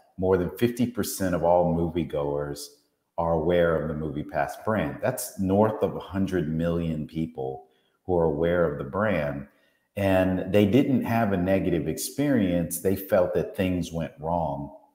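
Speaking at a very slow pace, a man with a very deep, low pitch and a dark, mellow tone is heard in audible room echo. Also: quiet background. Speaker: guest. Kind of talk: interview answer. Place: home room. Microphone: earbuds.

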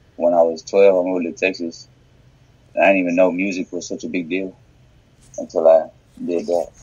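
A man's very deep, low voice at a fairly quick pace, monotone and flat, with long, frequent pauses. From Arkansas, US South. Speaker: musician. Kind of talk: interview. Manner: halting.

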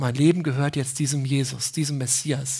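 Recorded very cleanly against a silent background, a woman with a very deep, low pitch speaks at a moderate pace, somewhat breathy, with a warm, dark, mellow tone and fairly even intonation. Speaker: preacher. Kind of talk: sermon in church, explaining a Bible passage. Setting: church. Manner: warm, conversational, earnest; emphatic, repeating key phrases.

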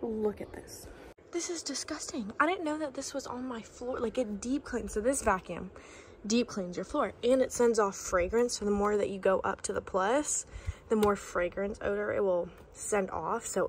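There is light background noise as a woman speaks at a moderate pace. Her intonation is lively. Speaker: vlogger. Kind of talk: casual vlog chat. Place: home room. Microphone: phone near.

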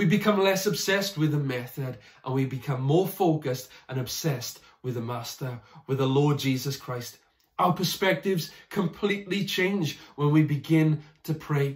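A somewhat breathy man speaks at a moderate pace with ordinary pitch variation. The background is quiet. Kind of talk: sermon. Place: home room. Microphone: phone near.

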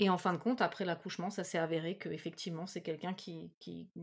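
Over a silent background on a very clean recording, a woman talks very fast with fairly even intonation. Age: 40s. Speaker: medium. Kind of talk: casual chat.

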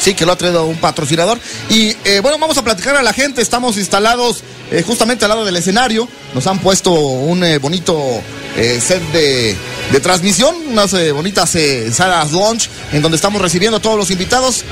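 With clear music in the background, a man speaks in a high pitch with very wide pitch swings. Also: fairly quick pace. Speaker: radio host. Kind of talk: live radio show host, event broadcast.

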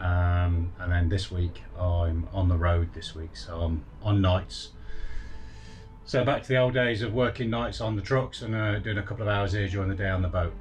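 Faint music sits behind a man speaking at a fairly low pitch with ordinary pitch variation. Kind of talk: casual vlog chat. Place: boat. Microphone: phone near.

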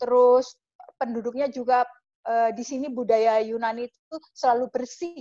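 A woman's high voice with a dark, mellow tone, fairly even intonation, big swings in loudness, a moderate pace and a quiet background. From Java, Indonesia. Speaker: travel agent and YouTuber; guest. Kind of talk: interview. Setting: video call. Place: home room. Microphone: video call.

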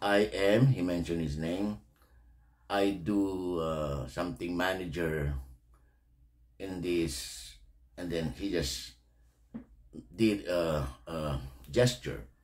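Speech at a very slow pace with lively intonation and long, frequent pauses plays over a quiet background. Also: man. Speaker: reaction video host. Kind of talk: commentary. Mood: indignant, disapproving. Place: home room. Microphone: studio mic.

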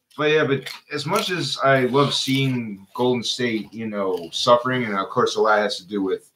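A man talks at a medium pace, his pitch varying in an ordinary way, with a bit of background noise. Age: 30s. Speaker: co-host. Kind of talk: casual chat. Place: garage. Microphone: studio mic.

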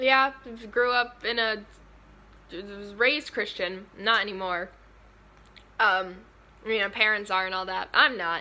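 A woman's bright, sharp tone at a moderate pace, broken by long, frequent pauses. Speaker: vlogger. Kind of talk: casual vlog chat. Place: home room. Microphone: phone near.

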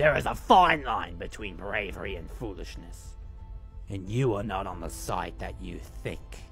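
A man's put-on, menacing character voice at a moderate pace, over clear background music. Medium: voice reel.

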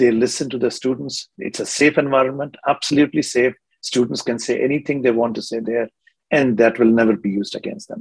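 At a fairly quick pace, a man talks at medium pitch with fairly even intonation and a slightly husky edge.

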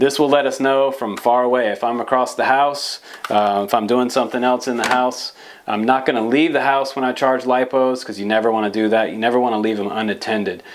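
A man at a fairly quick pace, fairly even intonation, and light background noise. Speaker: presenter. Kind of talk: tutorial. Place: studio.

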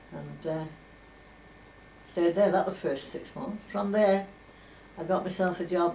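A woman with a fairly low pitch speaks at a fairly slow pace with fairly even intonation and long, frequent pauses, in audible room echo over light background noise. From Furness, northern England. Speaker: former domestic servant. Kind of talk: oral history interview. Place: home room. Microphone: old recording.

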